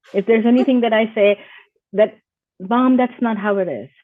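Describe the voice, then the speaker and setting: A woman with an Indian accent speaks at a fairly high pitch with ordinary pitch variation. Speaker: IT business owner. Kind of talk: interview.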